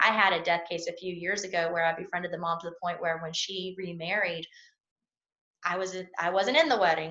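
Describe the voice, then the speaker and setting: This woman talks at a fairly quick pace with a Southern US accent and a bright, sharp tone. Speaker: personal injury attorney. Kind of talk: interview answer.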